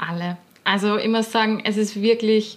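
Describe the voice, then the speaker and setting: With an Austrian accent, a woman speaks at a moderate pace in a flat, monotone way. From Austria, Linz. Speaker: professional dancer. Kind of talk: casual interview.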